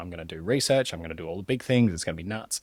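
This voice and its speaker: Recorded very cleanly against a silent background, a man speaks with an Australian accent. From South Australia, Mount Gambier. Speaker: plumbing apprentice. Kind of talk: podcast interview. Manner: casual, filler-heavy.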